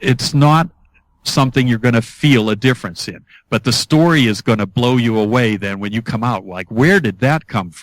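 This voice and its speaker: A man with a normal speaking voice talks at medium pitch and a moderate pace, intonation lively, in a very clean recording with a silent background. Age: 60s. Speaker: author and hypnotist. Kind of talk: interview.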